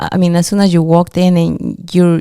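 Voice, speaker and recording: A woman with a non-native accent talks at a moderate pace. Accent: foreign. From immigrant to the US. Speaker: podcast co-host. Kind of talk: casual interview chat.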